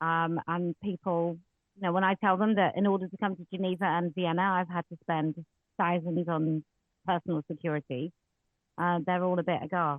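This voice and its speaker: The speaker has an English accent and a moderate pace. The intonation stays monotone and flat. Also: woman, fairly low pitch for a woman. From England. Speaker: women's rights campaigner. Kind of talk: online audio space Q&A. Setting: online audio space. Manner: loud.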